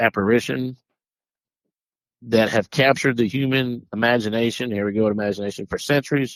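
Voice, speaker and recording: A man talks with a strong Southern US accent and fairly even intonation. The recording is very clean, with a silent background and a dry, close sound with no echo. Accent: deep Southern US. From US South. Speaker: paranormal podcast host. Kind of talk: casual podcast chat, partly reading notes. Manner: halting, with repeats and self-corrections.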